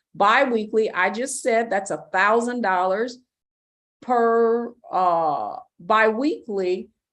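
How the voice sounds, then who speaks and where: A woman speaks in a plain, everyday voice, fairly high in pitch, with ordinary pitch variation. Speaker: financial educator. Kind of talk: webinar.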